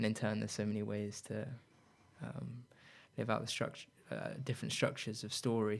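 Talking at a fairly quick pace yet with long, frequent pauses, a man uses a fairly low, fairly evenly intoned voice marked by vocal fry. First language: Spanish. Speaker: radio host. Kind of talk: casual chat. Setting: radio studio. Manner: halting.

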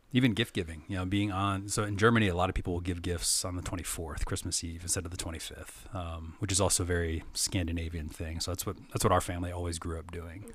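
A man with an American accent speaks at a very fast pace with hardly any pauses. His very deep, low voice is somewhat breathy, with fairly even intonation. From United States. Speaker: pastor and Bible teacher. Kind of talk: casual interview.

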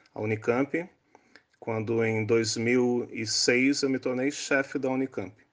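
A man speaks fairly slowly at a medium pitch with fairly even intonation. He has a plain, everyday voice. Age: 60s. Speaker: neurosurgeon. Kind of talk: interview explaining science.

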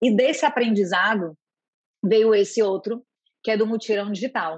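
A woman with a fairly high pitch, ordinary pitch variation and an unremarkable speaking voice speaks at a fairly slow pace. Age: 40s. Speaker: healthcare innovation manager. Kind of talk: interview.

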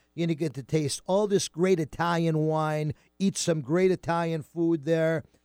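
Recorded dry and close with no echo, a man with an American accent speaks in a plain, everyday voice, fairly high in pitch, at a moderate pace with fairly even intonation. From US Northeast. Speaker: radio host. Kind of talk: casual chat. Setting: studio.

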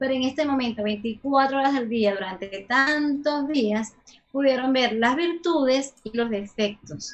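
A woman's high voice, with ordinary pitch variation, comes at a fairly slow pace. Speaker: sexologist. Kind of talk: casual interview. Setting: video call.

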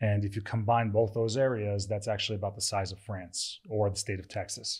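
Over a silent background in a very clean recording, a man with a fairly low, somewhat breathy voice talks at a fairly quick pace in a monotone, flat intonation. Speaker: real estate trainer and event organizer. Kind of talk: casual chat.

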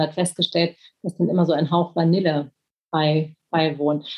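A woman speaks at a moderate pace, her voice somewhat breathy and her intonation fairly even. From Germany, Berlin. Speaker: author and reporter. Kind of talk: interview.

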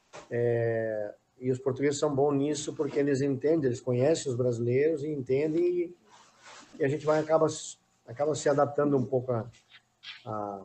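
A man speaks in an ordinary speaking voice. His pitch is medium and his pace fairly quick. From Rio Grande do Sul, Brazil. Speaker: retired footballer. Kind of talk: casual chat.

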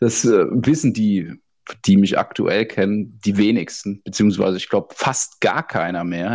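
This man has an unremarkable speaking voice, pitched fairly low. He talks at a moderate pace. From Odenwald, southern Hesse (Birkenau). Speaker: podcast co-host. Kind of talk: casual chat.

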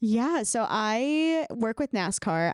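A woman speaks with lively intonation and an animated, upbeat tone. The recording is very clean with a silent background, and the sound is dry and close with no echo. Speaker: scientist and YouTube content creator. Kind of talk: casual chat interview.

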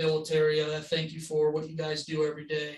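At a moderate pace comes an ordinary speaking voice. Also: man. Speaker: podcast host. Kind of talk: casual interview chat.

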